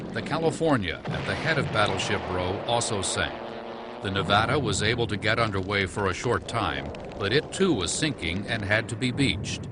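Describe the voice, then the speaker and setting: A man with a solemn tone and very wide pitch swings, at a moderate pace over noticeable background noise. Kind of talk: history documentary narration. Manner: formal, measured, solemn.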